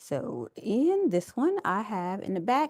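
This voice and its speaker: A woman's fairly high voice in a dry, close sound with no echo. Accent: American. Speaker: home gardening livestreamer. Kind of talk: casual livestream garden tour. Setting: indoors, live stream. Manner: animated.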